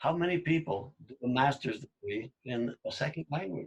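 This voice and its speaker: A man's somewhat breathy voice with lively intonation and a dry, close sound with no echo. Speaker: podcast host, language learner. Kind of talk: casual conversation.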